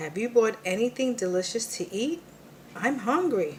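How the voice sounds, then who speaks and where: A female-sounding put-on character voice at a fairly high pitch speaks at a moderate pace over clear background noise. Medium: read story. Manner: whiny, dramatic.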